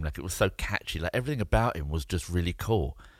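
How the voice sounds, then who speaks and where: Over a silent background in a very clean recording, a man rattles along at a very fast pace with lively intonation and vocal fry. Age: 40s. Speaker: entrepreneur and podcast co-host. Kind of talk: casual chat.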